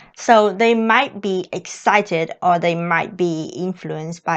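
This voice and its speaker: Against a quiet background, a woman speaks with a Vietnamese accent. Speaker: au pair and vlogger. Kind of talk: vlog talk to camera.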